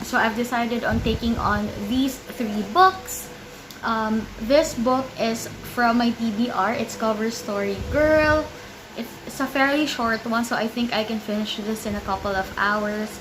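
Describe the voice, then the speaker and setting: The voice moves at a fairly slow pace with ordinary pitch variation, accompanied by noticeable background noise and audible room echo. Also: woman, fairly high pitch for a woman. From Philippines. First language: Filipino (Tagalog). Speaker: book vlogger. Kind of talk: casual vlog talk.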